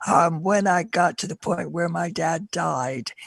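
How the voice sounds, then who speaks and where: A woman's fairly low voice with vocal fry and ordinary pitch variation, at a fairly slow pace in a dry, close sound with no echo. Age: 60s. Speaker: panelist bereaved as a young adult. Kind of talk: panel discussion.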